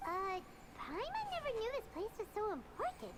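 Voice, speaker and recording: Over loud background noise, a woman uses a squeaky, put-on character voice at an extremely high pitch and a moderate pace. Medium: video game.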